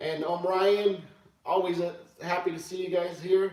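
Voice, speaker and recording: A man speaks loudly and very slowly, his voice pitched high for a man. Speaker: pool player streamer. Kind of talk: live stream commentary. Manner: hesitant, filler-heavy.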